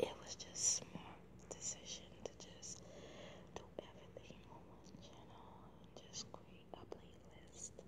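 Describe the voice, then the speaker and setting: Against loud background noise, a soft-spoken woman whispers at a very slow pace. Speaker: ASMR creator. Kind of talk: soft-spoken casual vlog chat. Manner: soft close ASMR whisper. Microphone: phone near.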